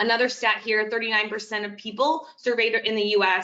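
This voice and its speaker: This woman talks at a fairly quick pace. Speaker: client partner at a social media company. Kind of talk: webinar presentation. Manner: fast.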